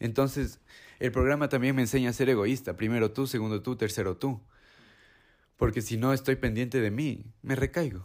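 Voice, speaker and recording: A man's medium-pitched, ordinary speaking voice at a moderate pace with fairly even intonation; an ordinary speaking voice. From Ecuador. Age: 20s. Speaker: recovering addict. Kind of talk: personal testimony.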